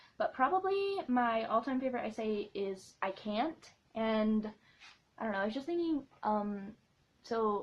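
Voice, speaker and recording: Here a woman's voice is somewhat breathy. Her pitch sits fairly high. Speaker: vlogger and blogger. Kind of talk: casual vlog Q&A. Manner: fast; animated.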